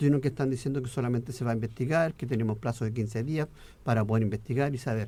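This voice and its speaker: Somewhat breathy, a man's voice has a dark, mellow tone at medium pitch. He speaks at a very fast pace. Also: fairly even intonation. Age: 60s. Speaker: politician. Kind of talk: radio interview.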